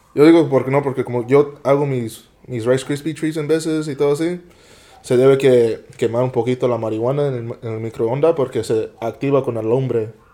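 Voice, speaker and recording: A man talks at a moderate pace with medium pitch and a dark, mellow tone. His intonation stays fairly even. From US West Coast, San Jose, California (Eastside). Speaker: podcast guest, small food business owner. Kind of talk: casual chat.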